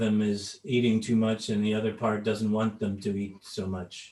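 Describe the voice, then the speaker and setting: A man speaks at a fairly slow pace in a fairly low voice with monotone, flat intonation. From Canada. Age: 70s. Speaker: tapping trainer. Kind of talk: talk with consecutive interpretation. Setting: video call. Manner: halting with fillers.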